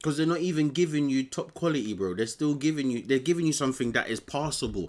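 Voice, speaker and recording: A man at a very fast pace with ordinary pitch variation, on a very clean recording with a silent background. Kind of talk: casual chat. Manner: halting.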